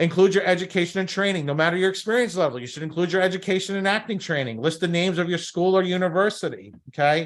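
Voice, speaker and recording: In a Brooklyn accent, the voice races at a very fast pace with an animated tone and ordinary pitch variation. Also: man. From New York, Brooklyn. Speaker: talent agency coach. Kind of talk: workshop presentation. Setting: live stream over Zoom.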